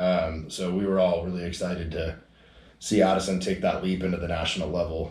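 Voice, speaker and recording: A man with a very deep, low voice speaks at a moderate pace, sounding somewhat breathy. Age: 30s. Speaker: podcast host, bodybuilder. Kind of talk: casual chat. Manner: casual, profane, energetic.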